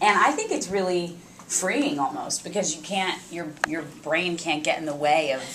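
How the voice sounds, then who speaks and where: A woman with a fairly low voice speaks at a moderate pace with lively intonation and big swings in loudness. Audible room echo and noticeable background noise surround her. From New York. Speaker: actor. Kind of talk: press interview chat.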